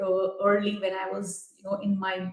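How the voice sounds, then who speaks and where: A woman's voice with audible room echo. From India. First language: not English (English is her third language). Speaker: tech executive. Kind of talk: conference talk. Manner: hesitant, many fillers.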